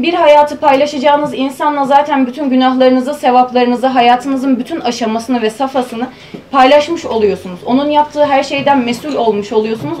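A woman's high-pitched voice at a fairly quick pace, with light background noise. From Hatay, southern Turkey. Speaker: university student presenter; presenter. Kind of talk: conference paper presentation. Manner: formal. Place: meeting room. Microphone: camera far.

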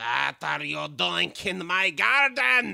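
A gruff, put-on character voice at a low-to-middle pitch unfolds at a very slow pace. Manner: angry, stern.

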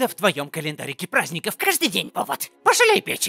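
A high-pitched man at a fairly quick pace, in a dry, close sound with no echo. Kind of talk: comic overacting. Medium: fan dub. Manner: sarcastic, scolding.

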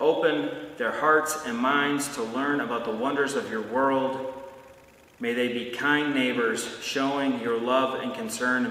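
In a room with audible echo, a man of medium pitch speaks at a fairly slow pace with fairly even intonation. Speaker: pastor. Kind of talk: blessing and fervent prayer, pastoral address. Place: church.

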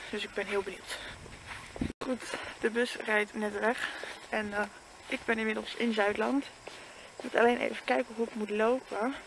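Her pitch sits fairly high, and this woman keeps a moderate pace with fairly even intonation. She pauses long and often, over noticeable background noise. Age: 20s. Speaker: vlogger. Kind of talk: casual vlog monologue. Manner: halting.

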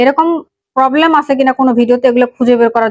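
A woman's high-pitched voice holds a fairly even intonation. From Bangladesh, Panchagarh district. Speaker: YouTube tech tutorial creator. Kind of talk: screen-recording tutorial.

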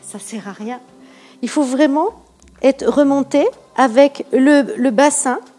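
Faint music plays in the background as a woman speaks at a high pitch with ordinary pitch variation. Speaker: pilates instructor. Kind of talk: exercise class instruction. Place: home room.

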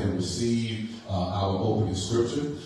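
Strong room echo surrounds a man speaking with monotone, flat intonation. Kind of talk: service announcements turning to preaching. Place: church.

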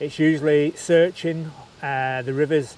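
A man speaks at a fairly slow pace. His intonation is fairly even, and the sound is dry with no echo. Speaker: angler vlogger. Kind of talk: casual vlog chat. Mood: relaxed, self-deprecating humor. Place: waterside. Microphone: lapel.

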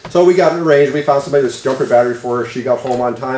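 The man talks at a very fast pace with lively intonation. His voice carries audible room echo. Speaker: pastor. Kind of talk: sermon. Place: church. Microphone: podium.

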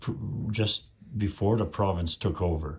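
The voice is somewhat breathy and moves at a fairly slow pace. The recording is very clean with a silent background. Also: man. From Beauval, Saskatchewan. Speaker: community news interviewer. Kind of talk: interview.

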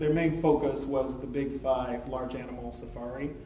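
A man talks with fairly even intonation. There is light background noise and some audible room echo. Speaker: presenter. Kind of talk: presentation talk.

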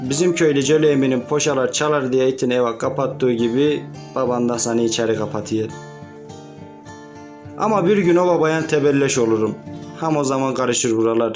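A man talks at medium pitch as background music plays. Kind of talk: humorous poetic love letter reading.

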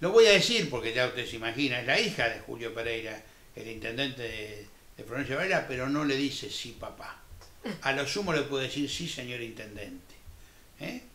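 Over audible room echo, a man talks fairly quickly with ordinary pitch variation and big swings in loudness. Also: medium pitch for a man. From Argentina. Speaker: TV interviewer, former teacher. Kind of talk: TV interview. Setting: studio. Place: studio.

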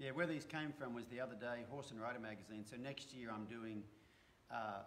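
This man has an American accent and ordinary pitch variation. Light background noise sits behind him. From Australia. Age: 50s. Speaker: horse trainer. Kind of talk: casual chat. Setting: live stream. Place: home room. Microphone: phone near.

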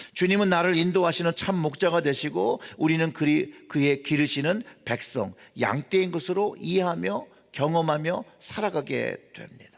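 A man talks at a fairly slow pace, his pitch high with ordinary variation. The recording is very clean, with a silent background. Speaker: pastor. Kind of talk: sermon. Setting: church.

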